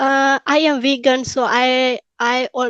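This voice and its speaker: A woman speaks at a very slow pace. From Pakistan. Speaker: English exam candidate. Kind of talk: spoken exam interview. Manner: halting, many fillers and restarts.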